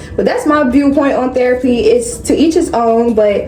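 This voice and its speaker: A woman with an American accent, lively intonation and a moderate pace, amid audible room echo and background music. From North Carolina. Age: 20s. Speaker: beauty and lifestyle vlogger. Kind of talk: casual chat with hair tutorial. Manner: casual, chatty.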